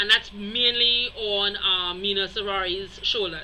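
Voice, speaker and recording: Noticeable background noise surrounds a woman's voice. She talks at a medium pitch and a fairly slow pace. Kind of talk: casual video commentary. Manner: hesitant, many fillers.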